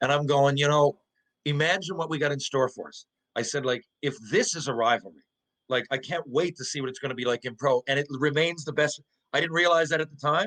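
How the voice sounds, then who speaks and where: Speaking with a Newfoundland accent, a man uses a fairly high pitch, a bright, sharp tone, ordinary pitch variation and a fairly quick pace, recorded dry and close with no echo. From Newfoundland, Canada. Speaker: former hockey player. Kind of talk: casual interview chat. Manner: animated.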